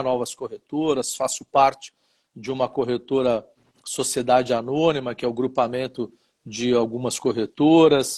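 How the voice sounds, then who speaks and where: The delivery is monotone and flat, at a fairly slow pace, with a dry, close sound and no echo. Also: man. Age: 60s. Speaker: insurance broker and former regulator. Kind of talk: interview on live stream. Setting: live stream.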